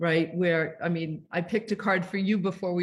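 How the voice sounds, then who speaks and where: At a moderate pace, a woman talks in a medium pitch, her voice somewhat breathy and her intonation fairly even. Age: 60s. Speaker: self-care author. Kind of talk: interview. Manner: casual, conversational.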